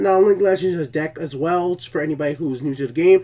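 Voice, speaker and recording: High-pitched male speech with ordinary variation in pitch. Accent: non-native. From outside the US. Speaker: gaming YouTuber. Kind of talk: gameplay commentary. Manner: fast when having fun; casual, many fillers.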